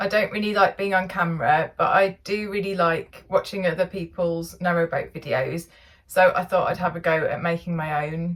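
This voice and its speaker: With an English accent, a woman speaks at a medium pitch with fairly even intonation. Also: moderate pace. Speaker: narrowboat vlogger. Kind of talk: vlog narration. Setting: outdoors on canal towpath.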